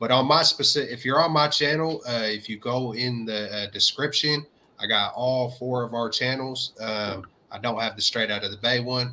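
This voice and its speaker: With a slight Southern US accent, a man speaks at medium pitch and a moderate pace, his tone bright and sharp and his intonation fairly even. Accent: slight Southern twang. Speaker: sports YouTube co-host. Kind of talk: casual chat.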